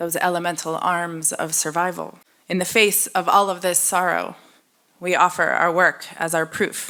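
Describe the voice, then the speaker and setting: A woman talks at a moderate pace with an American accent, her pitch fairly low. Her intonation is monotone and flat, and her tone is bright and sharp. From United States. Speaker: poet. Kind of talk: poetry reading. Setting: stage with audience.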